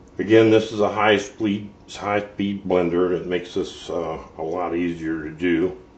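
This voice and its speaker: A man speaks at a fairly slow pace in a very deep, low voice. His intonation stays fairly even. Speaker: cooking channel host. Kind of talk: cooking tutorial. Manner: casual, hesitant with fillers; loud.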